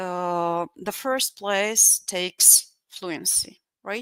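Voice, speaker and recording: Very slowly, a woman speaks with a non-native accent. Her tone is bright and sharp, with a dry, close sound and no echo. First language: Russian. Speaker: English teacher. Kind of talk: online lecture. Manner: halting, many fillers.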